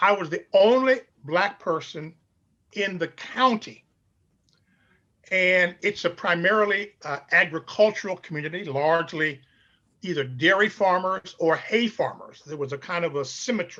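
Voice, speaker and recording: Bright and sharp in tone, a man with an American accent speaks at a high pitch and a moderate pace, with ordinary pitch variation. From Chicago, US Midwest. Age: 70s. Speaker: pastor. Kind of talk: interview.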